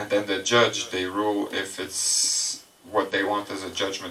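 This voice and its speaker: In a French accent, a man with a fairly low pitch speaks at a moderate pace in a flat monotone over noticeable background noise. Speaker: presenter. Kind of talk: presentation to audience.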